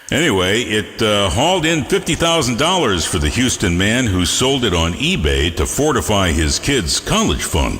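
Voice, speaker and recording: With music in the background, a man talks at a fairly low pitch and a moderate pace. His pitch swings very widely, and he takes hardly any pauses. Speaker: internet radio host. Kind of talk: radio DJ patter. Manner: casual, jokey.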